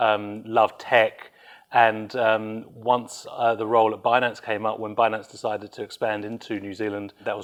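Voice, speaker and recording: This man has a British accent and a fairly low pitch, speaking in a flat monotone against a quiet background. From UK. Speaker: business executive. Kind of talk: interview. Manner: hesitant, many fillers.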